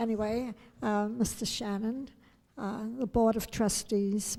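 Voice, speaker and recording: A woman with a New York accent speaks at a very slow pace in a dark, mellow tone with monotone, flat intonation. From New York City. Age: 80s+. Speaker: fencing coach. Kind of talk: acceptance speech. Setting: hotel banquet.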